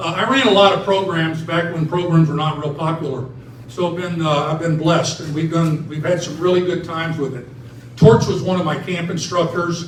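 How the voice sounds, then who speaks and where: Loud and high-pitched, a man talks at a fairly quick pace with fairly even intonation, audible room echo and noticeable background noise. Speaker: retired basketball referee and officiating trainer. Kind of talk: ceremony speech.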